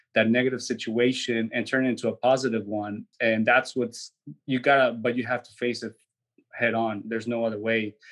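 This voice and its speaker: A man talks at a fairly quick pace and a medium pitch, his intonation flat and monotone. His loudness swings widely. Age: 30s. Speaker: mindset coach and entrepreneur. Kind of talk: casual interview. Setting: studio.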